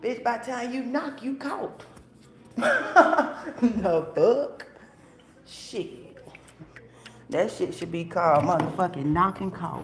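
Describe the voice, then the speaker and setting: Amid noticeable background noise and audible room echo, a high-pitched woman speaks at a very slow pace with long, frequent pauses, very wide pitch swings and big swings in loudness. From Atlanta, Georgia. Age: 30s. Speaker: live streamer. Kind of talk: casual chat.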